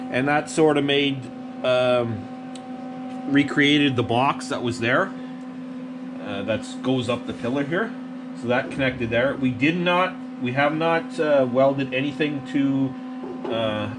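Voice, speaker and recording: Noticeable background noise accompanies a man talking fairly slowly. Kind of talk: casual workshop tutorial. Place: workshop. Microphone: phone near.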